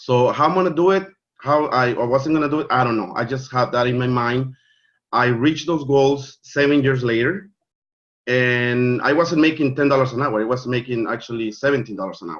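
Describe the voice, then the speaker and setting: At a fairly quick pace, a man of medium pitch speaks with a Spanish accent and ordinary pitch variation. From Mexico. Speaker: network marketing leader. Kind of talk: online training presentation. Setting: video call. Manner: halting, many fillers and repeats.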